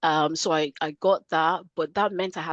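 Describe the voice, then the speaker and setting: Recorded against a quiet background, the voice has a Nigerian accent and a dry, close sound with no echo. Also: woman. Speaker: career coach. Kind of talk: podcast interview.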